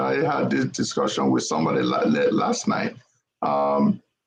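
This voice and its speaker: A man with a Nigerian accent speaks at a moderate pace. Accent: Igbo Nigerian. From Nigeria (Igbo). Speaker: panelist on political talk show. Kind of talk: political panel discussion. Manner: hesitant, many fillers.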